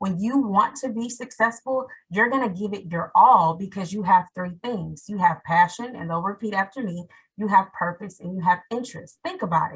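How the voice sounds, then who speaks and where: Somewhat breathy, a woman's medium-pitched voice shows ordinary pitch variation and big swings in loudness. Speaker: teacher. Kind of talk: webinar panel talk. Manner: fast.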